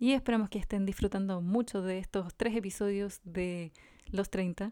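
Woman with a Chilean accent, dark and mellow in tone, at a moderate pace with fairly even intonation. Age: 30s. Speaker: podcast co-host. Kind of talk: casual chat.

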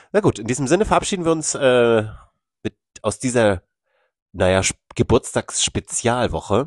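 Very wide pitch swings and long, frequent pauses mark a man's speech, recorded with a dry, close sound and no echo. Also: medium pitch for a man, moderate pace, quiet background. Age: 30s. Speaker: podcast co-host. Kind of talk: casual chat.

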